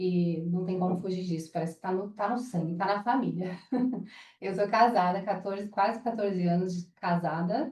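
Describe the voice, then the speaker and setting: A woman's somewhat breathy voice with a dark, mellow tone at a moderate pace. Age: 30s. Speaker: interior designer and entrepreneur. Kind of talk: casual chat. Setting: at a home.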